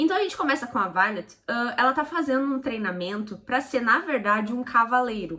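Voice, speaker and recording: The speaker is a woman. The ups and downs of her pitch are ordinary. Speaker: book reviewer. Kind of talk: casual book review. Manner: fast.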